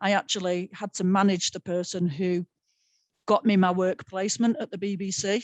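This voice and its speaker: Recorded with a dry, close sound and no echo, a woman with a strong Manchester accent speaks at medium pitch and a moderate pace, her intonation fairly even. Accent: strong North Manchester. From North Manchester, England. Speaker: sports broadcaster. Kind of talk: panel webinar talk.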